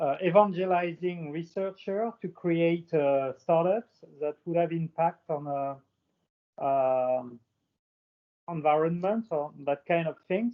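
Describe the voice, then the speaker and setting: With a French accent, a man talks very slowly in a high pitch. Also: ordinary pitch variation. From France. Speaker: aviation industry panelist. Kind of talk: panel discussion.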